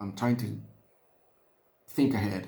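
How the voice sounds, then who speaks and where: A man speaks with a Spanish accent. Room echo is audible. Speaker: hobbyist miniature painter. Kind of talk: casual vlog narration while painting. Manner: halting, many fillers and repeats.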